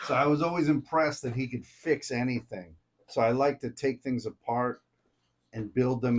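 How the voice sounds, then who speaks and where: At a fairly quick pace, a man speaks in a normal speaking voice with ordinary pitch variation. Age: 50s. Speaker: contractor and comedian. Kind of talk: casual chat.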